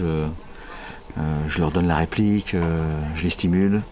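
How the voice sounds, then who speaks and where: Noticeable background noise behind a man's very deep, low pitch, fairly even intonation and fairly slow pace. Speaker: voice director. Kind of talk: interview answer.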